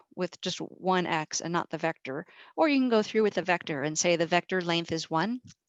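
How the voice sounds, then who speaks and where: A woman's normal speaking voice, fairly low in pitch, with ordinary pitch variation and a moderate pace, dry, close sound with no echo, quiet background. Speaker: statistics professor. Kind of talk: lecture. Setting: video call.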